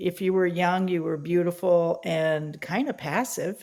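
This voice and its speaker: In an unremarkable speaking voice, a woman talks at a fairly slow pace with a fairly low pitch. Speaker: writer and workshop leader. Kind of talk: interview conversation.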